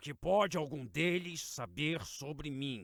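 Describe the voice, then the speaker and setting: In a put-on character voice, a man talks fairly slowly with a raspy, fairly high pitch and lively intonation. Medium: read story. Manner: low, tired, controlled.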